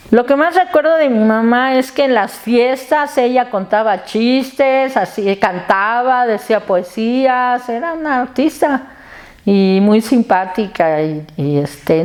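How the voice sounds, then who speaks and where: Her fairly high voice swings very widely in pitch as the woman speaks. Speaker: family member interviewee. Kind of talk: documentary interview.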